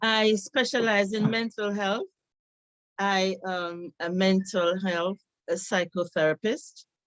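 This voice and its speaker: Very slow speech in a Jamaican accent, with ordinary pitch variation and a dry, close sound with no echo. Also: woman, medium pitch for a woman. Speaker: psychotherapist and nursing professor. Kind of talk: presentation talk.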